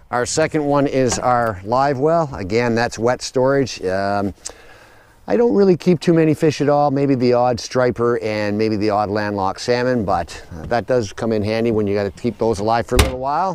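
With lively intonation, a man speaks at a moderate pace, the sound dry with no echo and light background noise. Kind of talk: tutorial walkthrough. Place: garden. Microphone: phone near.

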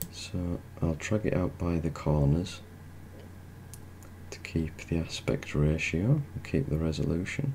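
A soft-spoken man with a very deep, low pitch talks in a calm tone with ordinary pitch variation. His pace is fairly slow, with long, frequent pauses. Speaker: ASMR tech tutorial host. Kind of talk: soft-spoken ASMR tutorial narration. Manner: soft-spoken, slow, calm.

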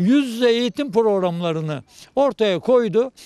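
A man's high pitch with ordinary pitch variation, a moderate pace and a dry sound with no echo. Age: 70s. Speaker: retired teacher and graduate; retired teacher. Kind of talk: interview. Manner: halting. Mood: proud, content. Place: garden. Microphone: handheld.

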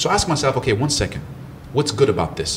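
Noticeable background noise runs through this recording. A man speaks at a very fast pace. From Ivory Coast, later Germany. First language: French and German. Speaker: mindset coach and motivational speaker. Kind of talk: podcast interview.

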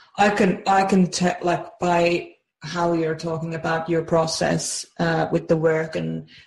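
A woman speaks very slowly in a somewhat breathy voice. Her intonation is monotone and flat. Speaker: personality-type coach and program creator. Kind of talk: interview. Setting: remote call. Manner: warm, effusive.

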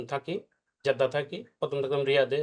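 A man's fairly high voice holds a fairly even intonation. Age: 40s. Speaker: patient. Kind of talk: patient testimony. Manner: halting.

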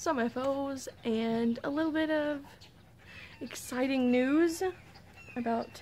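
A woman's high-pitched voice at a very slow pace, over light background noise. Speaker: knitting podcaster. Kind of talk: casual vlog chat. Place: street. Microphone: phone near.

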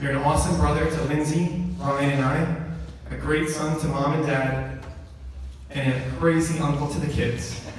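A man speaks at a fairly slow pace. There is strong room echo and light background noise. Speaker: best man giving wedding toast. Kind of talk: best man toast and roast, joking wedding speech to a room of guests. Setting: wedding reception with audience. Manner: playful, teasing, jokey, with laughs and sentimental turns. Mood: warm, affectionate. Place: hall.

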